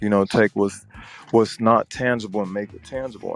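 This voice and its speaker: Music plays in the background of a dry, close recording with no echo. A man speaks at medium pitch and a moderate pace. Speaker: business funding consultant. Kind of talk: casual podcast talk.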